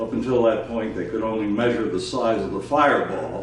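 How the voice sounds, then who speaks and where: A man's fairly low voice at a moderate pace, with audible room echo and noticeable background noise. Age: 80s+. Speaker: retired air force fighter pilot. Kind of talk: oral history interview. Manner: hesitant, many filler uhs.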